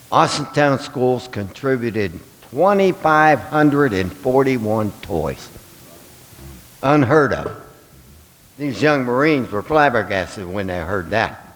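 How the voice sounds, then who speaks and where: Over noticeable background noise, a man speaks at a fairly slow pace and medium pitch, his intonation lively. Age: 70s. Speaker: toy drive volunteer. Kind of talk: speech at public meeting. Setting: school board meeting.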